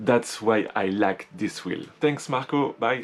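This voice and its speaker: With a French accent and lively intonation, a man speaks at a fairly slow pace over noticeable background noise. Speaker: YouTuber, electric unicycle reviewer. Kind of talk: short recorded statement.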